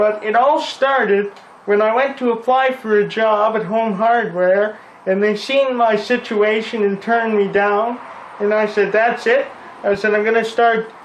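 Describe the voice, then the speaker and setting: Amid noticeable background noise and audible room echo, a man talks at a moderate pace in a high pitch with fairly even intonation. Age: 20s. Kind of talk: interview. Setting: repair shop.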